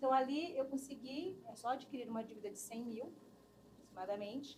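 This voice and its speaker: With a high pitch and ordinary pitch variation, a woman talks at a fairly quick pace, her loudness swinging widely, and room echo is audible. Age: 50s. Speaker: human resources specialist. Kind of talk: interview conversation. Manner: animated.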